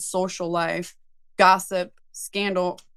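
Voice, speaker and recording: A woman speaks loudly in a bright, sharp tone. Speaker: tarot teacher. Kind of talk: lecture. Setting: webinar.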